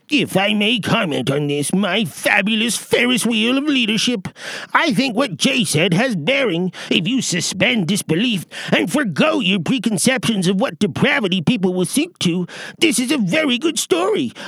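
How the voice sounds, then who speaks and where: A man with a high pitch speaks at a moderate pace. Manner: gushing, obsequious.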